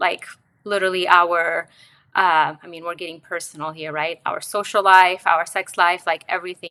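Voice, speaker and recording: On a very clean recording with a silent background, a woman with a fairly low pitch and a bright, sharp tone keeps her intonation fairly even. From Romania. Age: 40s. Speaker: podcast guest, wellness executive. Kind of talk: personal testimony.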